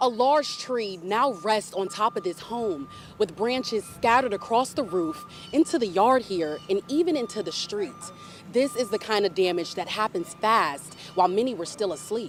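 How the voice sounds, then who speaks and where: Music plays in the background as a woman speaks. She keeps a moderate pace with lively intonation. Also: medium pitch for a woman. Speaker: TV news reporter and anchor. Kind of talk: live field report on storm damage and local news. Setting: outdoors, windy.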